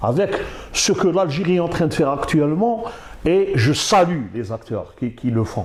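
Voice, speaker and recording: A man with a high pitch, amid noticeable background noise. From Algeria. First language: Arabic (speaking French). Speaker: university professor. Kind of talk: interview. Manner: halting.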